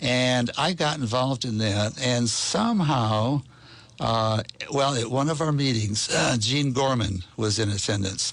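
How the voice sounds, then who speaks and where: Noticeable background noise sits behind a man speaking at a fairly slow pace. His pitch is medium with ordinary variation, and his loudness stays very even. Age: 80s+. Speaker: cycling advocate. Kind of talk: radio interview. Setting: studio.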